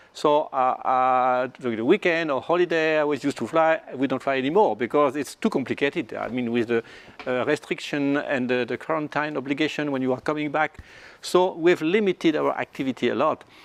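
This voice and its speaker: Fairly high-pitched male speech in a strong French accent, fairly quick, with ordinary pitch variation. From France. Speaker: flight test pilot. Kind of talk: panel discussion. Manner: halting, repeats words.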